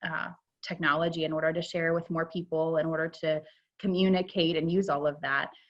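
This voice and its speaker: Her intonation is monotone and flat. The woman speaks at a moderate pace. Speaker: program management consultant. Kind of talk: interview. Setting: video call. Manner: loud.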